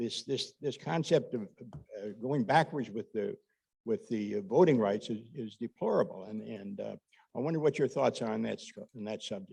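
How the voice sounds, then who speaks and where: Lively intonation runs through a man's dark, mellow tone with vocal fry, at a medium pitch and moderate pace. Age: 80s+. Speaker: audience member asking a question. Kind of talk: audience question. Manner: halting, repeats words.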